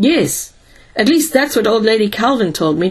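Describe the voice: Lively intonation runs through the recording. It is plain reading aloud.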